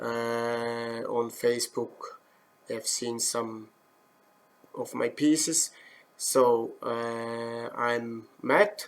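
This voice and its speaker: The speech breaks into long, frequent pauses, and its loudness swings widely. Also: man. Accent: Swiss German. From German-speaking Switzerland. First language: Swiss German. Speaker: woodturning instructor. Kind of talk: live demo. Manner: halting, many fillers.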